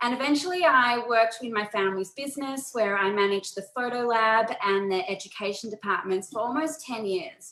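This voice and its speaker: Talking at a fairly quick pace with hardly any pauses, a woman uses a fairly high pitch and lively intonation. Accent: Australian. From Australia, Melbourne. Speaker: photographer and photo organizing presenter. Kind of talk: webinar presentation. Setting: video call.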